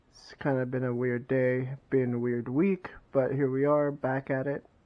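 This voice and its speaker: A man mumbles in a put-on character voice at a medium pitch and moderate pace, his intonation monotone and flat while his loudness swings widely. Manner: mumbling.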